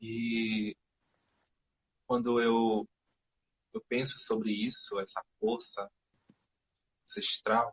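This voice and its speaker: Long, frequent pauses slow a man's speech to a very slow pace. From Amazon region of Brazil. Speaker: poet. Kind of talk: interview conversation. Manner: soft-spoken, shy.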